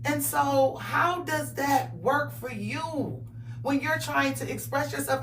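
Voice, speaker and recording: A woman speaks loud and very slowly, with audible room echo and noticeable background noise. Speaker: talk show host. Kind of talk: interview.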